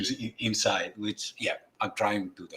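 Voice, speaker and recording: This man speaks at a moderate pace. His tone is bright and sharp. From Greece. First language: Greek. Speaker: astrophotography presenter, community member. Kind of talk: casual group chat on livestream. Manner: halting, hesitant.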